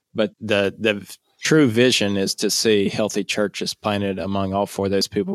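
A man with a Louisiana accent speaks at a moderate pace and a fairly low pitch. The recording is very clean with a silent background and a dry, close sound with no echo. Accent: Louisiana Southern US. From northeast Louisiana, US South. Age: 30s. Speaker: missionary. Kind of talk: interview.

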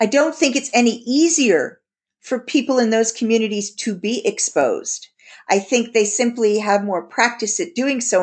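A woman with an American accent speaks at a moderate pace in an unremarkable speaking voice, her fairly high pitch carried by lively intonation. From US. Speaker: podcast host, intimacy coach and psychologist. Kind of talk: interview conversation; scripted outro.

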